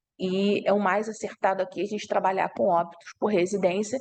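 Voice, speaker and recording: With a plain, everyday voice, a woman speaks at a moderate pace with ordinary pitch variation. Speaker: university lecturer. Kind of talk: online lecture.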